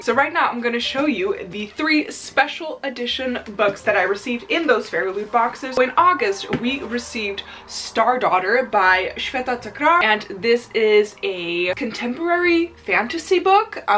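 A woman with a high pitch speaks with hardly any pauses and very wide pitch swings. There is light background noise. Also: moderate pace. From Netherlands. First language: Dutch. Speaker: book YouTuber. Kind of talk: casual vlog chat. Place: home room.

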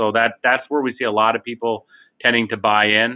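In a quiet setting, a man speaks at a moderate pace in a monotone, flat intonation. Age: 40s. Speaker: life insurance company CEO. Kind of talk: webinar presentation. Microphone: video call.

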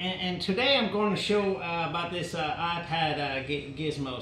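Amid light background noise and audible room echo, a man with a high pitch speaks at a moderate pace with ordinary pitch variation. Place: workshop.

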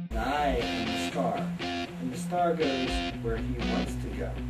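A man talking at a very slow pace over loud background music. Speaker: self-styled vampire political candidate. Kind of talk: documentary interview. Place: studio.

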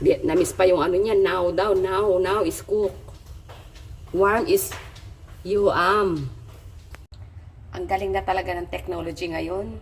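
A woman speaks very slowly, with long, frequent pauses and big swings in loudness, over noticeable background noise. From Philippines, provinces. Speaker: vlogger. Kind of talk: cooking vlog. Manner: casual, conversational.

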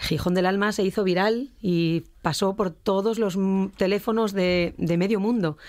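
A woman with an unremarkable speaking voice at a medium pitch, fairly even intonation, very even loudness and a fairly slow pace, on a very clean recording with a silent background. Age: 50s. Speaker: singer. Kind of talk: radio interview. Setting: radio studio.

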